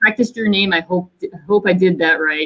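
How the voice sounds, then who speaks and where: Here a woman has a normal speaking voice. Her pitch is medium with ordinary variation. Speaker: company executive moderating panel. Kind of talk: virtual panel discussion. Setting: video call.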